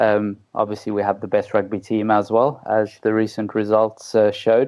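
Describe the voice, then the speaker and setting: Speaking at a moderate pace with very even loudness, a man with a South African accent keeps a fairly low, monotone delivery. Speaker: physiotherapist. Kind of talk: interview. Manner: hesitant, many fillers.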